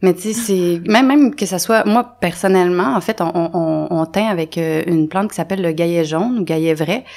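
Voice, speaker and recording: This is a woman with a Quebec accent. Her voice is fairly low in pitch. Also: ordinary pitch variation, moderate pace. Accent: Québécois French. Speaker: natural dyer; podcast guest. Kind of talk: casual interview. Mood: relaxed, friendly. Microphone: studio mic.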